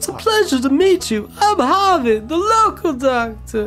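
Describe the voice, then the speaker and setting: A female-sounding voice does a put-on character at a high pitch. The pace is moderate, with clear music in the background. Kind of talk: polite, formal. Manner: silly, warm.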